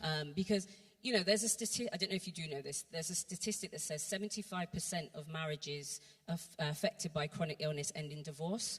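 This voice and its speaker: Fairly low in pitch and somewhat breathy, a woman speaks at a very fast pace with ordinary pitch variation. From Bristol, England. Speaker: church workshop speaker. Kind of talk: testimony.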